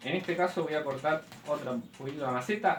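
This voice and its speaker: Over noticeable background noise, a man talks at a very fast pace in a fairly high voice with lively intonation. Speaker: bonsai hobbyist teacher. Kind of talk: tutorial.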